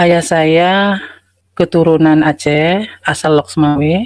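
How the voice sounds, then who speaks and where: This woman has a very deep, low pitch and ordinary pitch variation. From North Sumatra (Asahan). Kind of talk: testimony.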